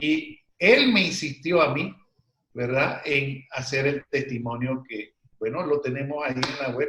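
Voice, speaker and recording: A man talks at a fairly slow pace and fairly high pitch, with ordinary pitch variation. It is a normal speaking voice. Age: 60s. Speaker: medical doctor and alternative therapist. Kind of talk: interview.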